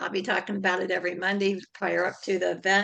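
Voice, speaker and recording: A woman speaks loudly at a fairly quick pace, her pitch medium. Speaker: networking group host. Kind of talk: group video meeting.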